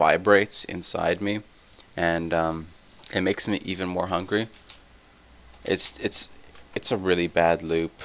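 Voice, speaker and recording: Soft-spoken and very deep, a man talks at a fairly slow pace in a monotone, flat intonation, with long, frequent pauses over noticeable background noise. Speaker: gaming let's play youtuber. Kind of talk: casual gaming commentary.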